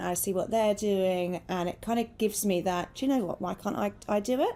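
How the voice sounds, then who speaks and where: The tone is dark and mellow, delivered with fairly even intonation in a British accent. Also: woman. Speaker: talent acquisition director. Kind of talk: panel discussion. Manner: loud.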